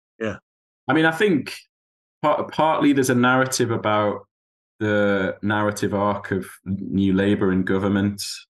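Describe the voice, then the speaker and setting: Speaking at a moderate pace with a northeast English accent, a man uses a fairly low pitch with ordinary variation. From northeast England, Tyne Valley. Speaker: university lecturer and author. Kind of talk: interview conversation. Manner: hesitant, many fillers.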